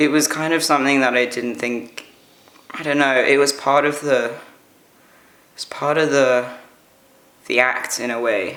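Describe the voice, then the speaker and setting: At a moderate pace with long, frequent pauses, a man with a British accent speaks at a fairly high pitch and fairly even intonation, amid noticeable background noise and audible room echo. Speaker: vlogger. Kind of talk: personal vlog. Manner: casual, hesitant with fillers.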